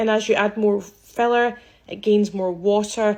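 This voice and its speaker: The speaker has a Scottish accent and monotone, flat intonation. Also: woman. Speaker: aesthetics practitioner. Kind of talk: social media commentary. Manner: casual, conversational.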